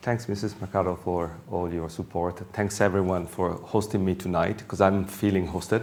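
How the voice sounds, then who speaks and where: A man with an Italian accent speaks at a fairly low pitch, with audible room echo. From Italy. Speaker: professor. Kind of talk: lecture. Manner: halting.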